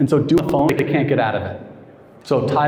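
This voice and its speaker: A man's fairly high voice with fairly even intonation, audible room echo and noticeable background noise. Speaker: sales coach. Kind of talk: training session Q&A.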